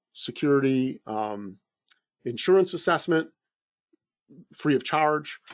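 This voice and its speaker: The background is quiet. A man speaks at a medium pitch. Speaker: company CEO presenting a webinar. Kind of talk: online presentation. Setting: live online event. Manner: fast; halting with many fillers.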